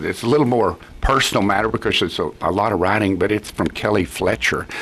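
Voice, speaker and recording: A man with a Texan accent talks at a very fast pace, his loudness very even and hardly any pauses breaking his speech. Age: 70s. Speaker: judge. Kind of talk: radio interview. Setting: studio. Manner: halting.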